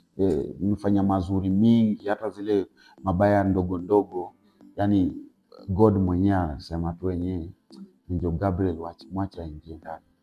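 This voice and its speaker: A man with a very deep, low voice speaks at a moderate pace over background music, his intonation fairly even but his loudness swinging widely. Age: 30s. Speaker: stand-up comedian. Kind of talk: casual interview.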